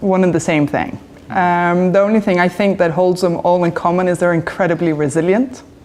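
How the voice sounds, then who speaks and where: Against noticeable background noise, a woman speaks at a fairly quick pace in a fairly low voice with fairly even intonation and very even loudness. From Spain. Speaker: hotel company executive. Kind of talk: interview.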